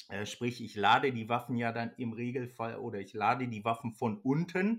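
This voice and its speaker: Someone speaks in a normal speaking voice at a moderate pace with ordinary pitch variation. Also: man. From Germany, Ostwestfalen (Kreis Höxter). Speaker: hunting expert, company manager. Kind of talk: casual expert interview.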